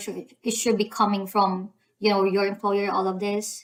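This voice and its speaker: This woman speaks with a Filipino accent. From Philippines. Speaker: YouTuber giving visa application guide. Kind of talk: tutorial. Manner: hesitant, many fillers.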